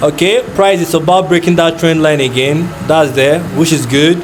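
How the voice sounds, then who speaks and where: A man with a Nigerian accent and a fairly high pitch speaks with ordinary pitch variation, with noticeable background noise and audible room echo. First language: not English; Nigerian language. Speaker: forex trader. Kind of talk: live trading commentary. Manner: casual, thinking aloud with fillers.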